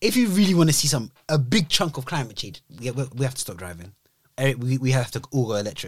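Somewhat breathy, a man with a British accent talks at a fairly quick pace with very wide pitch swings. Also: medium pitch for a man. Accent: British urban. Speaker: podcast co-host. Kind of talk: casual banter podcast chat. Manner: relaxed, calm.

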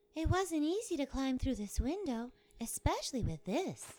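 A woman puts on a character voice, high-pitched. Her pitch swings very widely. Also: moderate pace. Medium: audio drama. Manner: dry, weary.

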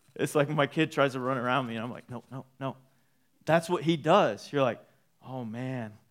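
In an ordinary speaking voice, a man with an American accent talks at a moderate pace and medium pitch. His pitch varies in an ordinary way while his loudness swings widely. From Texas (Waco). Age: 30s. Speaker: pastor. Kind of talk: sermon. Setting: church.

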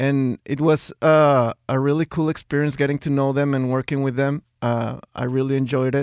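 The man's pitch is fairly high, his intonation monotone and flat, with hardly any pauses. The sound is dry and close with no echo, in a very clean recording with a silent background. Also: moderate pace. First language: Spanish. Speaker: music recording engineer. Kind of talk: casual interview chat. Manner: halting, hesitant.

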